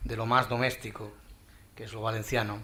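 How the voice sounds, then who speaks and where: With an Andalusian accent, a man talks in a room with audible echo. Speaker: panel moderator. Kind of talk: conference panel moderation. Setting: conference hall with audience. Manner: halting, repeats words.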